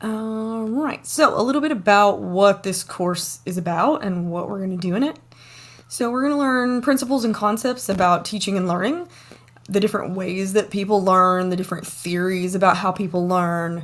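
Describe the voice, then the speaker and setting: Intonation is lively. A woman speaks at a moderate pace. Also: medium pitch for a woman. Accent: American. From US South, East Tennessee. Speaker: university lecturer. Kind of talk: online lecture. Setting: home office, recorded video.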